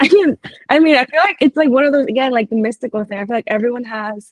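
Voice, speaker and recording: A woman talks at a very fast pace in an animated tone, her pitch varying in an ordinary way, with a dry, close sound and no echo. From Puerto Rico. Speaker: writer. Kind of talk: casual interview. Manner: animated, with many fillers and restarts.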